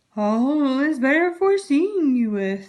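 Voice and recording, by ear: A put-on character voice at a fairly slow pace. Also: woman, high pitch for a woman.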